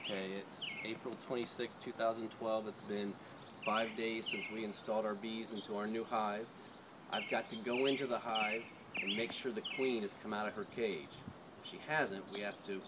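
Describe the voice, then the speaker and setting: Speech at a moderate pace over loud background noise. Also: man. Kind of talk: casual vlog chat. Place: garden. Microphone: camera far.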